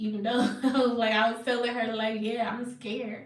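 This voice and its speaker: Audible room echo surrounds the speaker. She is a woman with a fairly high pitch. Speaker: psychic medium and spiritual healer. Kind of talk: casual livestream chat. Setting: away from home, on wi-fi. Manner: loud.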